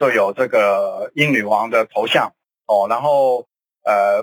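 The recording is dry and close, without any echo. A man talks very slowly. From Hong Kong. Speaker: political commentator. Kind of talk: radio talk show discussion.

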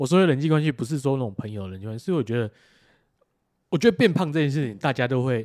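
A man is speaking. His intonation is lively. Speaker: podcast co-host. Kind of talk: casual chat.

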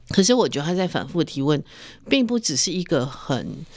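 A woman with a fairly low voice makes very wide pitch swings in a very clean recording with a silent background. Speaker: podcast host and magazine editor. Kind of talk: interview.

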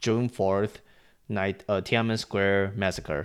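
In a very clean recording with a silent background, a man with a Chinese accent talks at a moderate pace in a very deep, low pitch. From Taiwan. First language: Mandarin Chinese. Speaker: podcast host. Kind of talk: casual solo news commentary.

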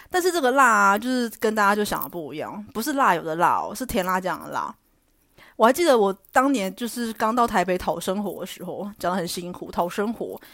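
A very clean, silent-background recording of speech with lively intonation. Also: woman, medium pitch for a woman, fairly quick pace. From Taiwan, Taichung. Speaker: podcast host. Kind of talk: casual solo monologue.

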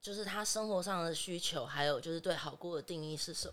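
A woman with an ordinary speaking voice and medium pitch talks at a moderate pace. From Taiwan. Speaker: adult film actress. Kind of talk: podcast interview.

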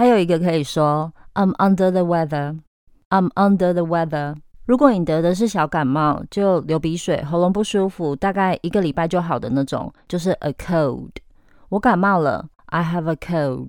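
A woman with an unremarkable speaking voice talks at a moderate pace, her pitch fairly low with ordinary variation. The recording is very clean, with a silent background. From Taiwan. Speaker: English teacher. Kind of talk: language lesson podcast.

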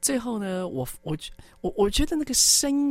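Speaking at a moderate pace with lively intonation, a woman has an unremarkable speaking voice. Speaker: radio host. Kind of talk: radio interview chat. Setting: studio.

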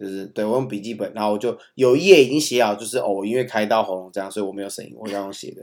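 A man with a Taiwanese accent at a very fast pace, fairly low in pitch, with hardly any pauses. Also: ordinary pitch variation, big swings in loudness. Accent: Taiwanese Mandarin. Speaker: podcast co-host, father of young children. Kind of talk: casual chat.

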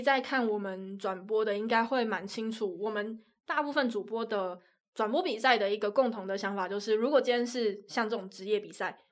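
A woman with a Taiwanese accent speaks at a moderate pace and a fairly high pitch, with ordinary pitch variation, in a very clean recording with a silent background. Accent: Taiwanese Mandarin. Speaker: sports commentator. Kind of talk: casual chat.

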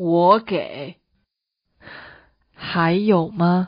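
A woman uses a put-on character voice with a fairly low pitch and a slightly husky edge. She speaks very slowly with ordinary pitch variation.

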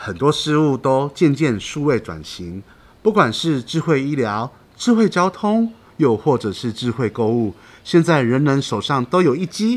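A man of medium pitch talks fairly slowly, his pitch swinging very widely. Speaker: podcast host. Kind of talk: podcast hosting and interview. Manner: cheerful, lively.

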